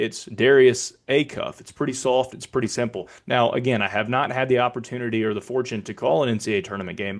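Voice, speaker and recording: An ordinary speaking voice from a man at medium pitch, fairly quick, with big swings in loudness over a quiet background. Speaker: public address announcer. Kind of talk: casual explanation to camera.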